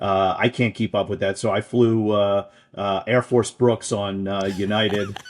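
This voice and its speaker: A man with flat, monotone intonation. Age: 50s. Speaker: political advocacy group executive. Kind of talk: interview.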